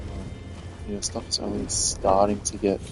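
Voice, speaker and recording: Over background music, a man talks at a moderate pace. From Australia, Sydney. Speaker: video game streamer. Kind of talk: casual live-stream chat.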